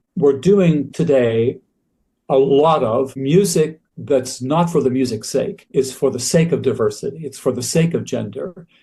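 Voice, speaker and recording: With an American accent, a man speaks at a fairly slow pace in a fairly high, somewhat breathy voice of dark, mellow tone, with ordinary pitch variation. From USA. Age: 80s+. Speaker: choral music scholar and author. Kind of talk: interview conversation.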